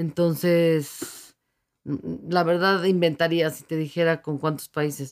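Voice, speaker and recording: A woman talks at a very slow pace in a fairly low pitch, her intonation monotone and flat. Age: 50s. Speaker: open water swimmer, university staff. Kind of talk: radio interview. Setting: radio studio.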